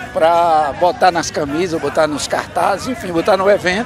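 A man at a moderate pace, with clear music in the background and a dry sound with no echo. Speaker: interviewee. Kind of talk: interview answer. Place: open country. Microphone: handheld.

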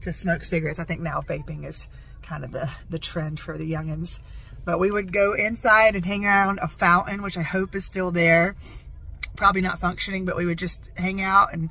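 Speaking at a fairly quick pace, a woman with a fairly low pitch keeps her intonation fairly even, and the sound is dry with no echo. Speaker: vlogger. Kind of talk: casual vlog chat. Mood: playful, joking. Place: car. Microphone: phone near.

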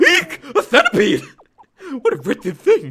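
A put-on character voice comes through at a high, shrill pitch. It moves at a moderate pace. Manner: annoying, shrill, fussy.

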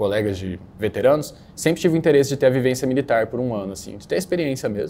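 Talking at a very fast pace with hardly any pauses, a man shows big swings in loudness and a dark, mellow tone. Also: medium pitch for a man. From São Paulo state interior, Brazil (Capivari). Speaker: newly qualified doctor, medical residency candidate. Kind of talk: interview answers. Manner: hesitant, many filler words.

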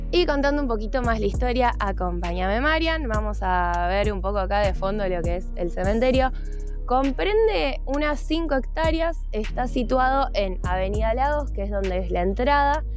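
Clear music sits behind a woman speaking at a moderate pace in a dry sound with no echo. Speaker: TV culture segment host. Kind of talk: tour guide presentation. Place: open country.

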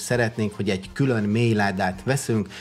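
A man talks with a fairly low pitch and ordinary pitch variation.

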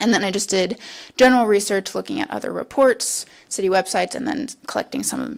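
A voice with vocal fry, talking at a fairly quick pace. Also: woman. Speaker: university researcher. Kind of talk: presentation. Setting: city council meeting. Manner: fast.

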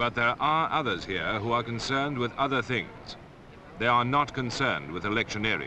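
A man with an English accent talks at a fairly quick pace, with noticeable background noise. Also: medium pitch for a man, ordinary pitch variation. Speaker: narrator. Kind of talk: public information film narration.

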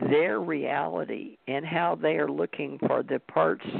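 The sound is dry, without any echo. A man's speech moves at a fairly slow pace. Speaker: podcast co-host. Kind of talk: casual talk show chat. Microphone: video call.

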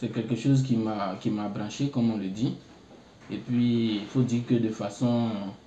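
With noticeable background noise behind him, a man speaks fairly slowly at a medium pitch, his intonation monotone and flat. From Côte d'Ivoire, Bouaké. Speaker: international student. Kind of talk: interview. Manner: halting.

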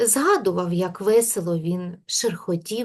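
The delivery is plain reading aloud, with ordinary pitch variation.

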